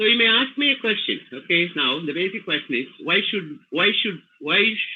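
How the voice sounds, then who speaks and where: Pausing hardly at all, a man with a high voice makes very wide pitch swings. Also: moderate pace. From India, Tamil Nadu. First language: Tamil. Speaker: English language trainer. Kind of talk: webinar lecture. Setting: video call. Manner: halting, with many fillers.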